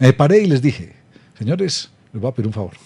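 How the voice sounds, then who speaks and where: The speech comes at a very fast pace. The voice is somewhat breathy, with a dark, mellow tone. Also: man. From Colombia, Medellín then Bogotá from age ten. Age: 60s. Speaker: podcast host, culture policy interviewer. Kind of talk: interview conversation. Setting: video podcast.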